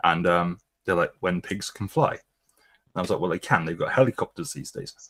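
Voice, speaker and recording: A man at a fairly quick pace, in a very clean recording with a silent background and a dry, close sound with no echo. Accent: British. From Britain. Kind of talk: casual chat.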